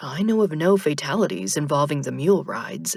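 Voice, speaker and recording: A woman puts on a character voice with a very deep, low pitch and very wide pitch swings, talking at a fairly quick pace. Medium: read story. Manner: literal, matter-of-fact.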